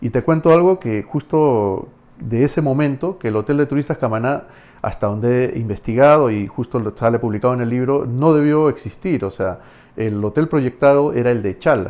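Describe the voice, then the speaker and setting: This man's voice sits at a medium pitch with a dark, mellow tone. His pitch varies in an ordinary way. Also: moderate pace. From Camaná, Arequipa, Peru. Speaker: historian, dentist and writer. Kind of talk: podcast interview answer.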